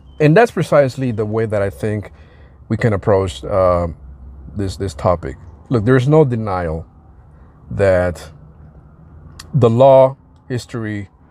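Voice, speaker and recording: Marked by long, frequent pauses, this dark, mellow voice has lively intonation and a slight non-native accent. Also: man, fairly low pitch for a man. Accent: slight foreign. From outside the US. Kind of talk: casual commentary monologue. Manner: hesitant, many fillers.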